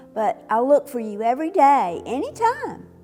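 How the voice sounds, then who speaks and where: Over music in the background, a woman speaks in a gentle tone. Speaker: retired teacher. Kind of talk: casual talk to camera. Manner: expressive, gentle.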